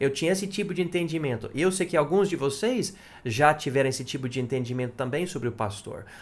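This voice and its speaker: A man with a fairly high, somewhat breathy voice talks at a very fast pace with lively intonation. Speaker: pastor. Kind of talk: sermon. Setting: church.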